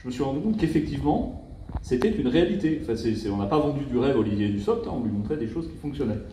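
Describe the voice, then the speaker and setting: In a strong Parisian accent, a man speaks with a fairly high pitch that makes very wide swings. His tone is dark, mellow and somewhat breathy, with audible room echo. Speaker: prefect (senior state official). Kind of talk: official speech at an awards ceremony. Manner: hesitant, many fillers and repetitions.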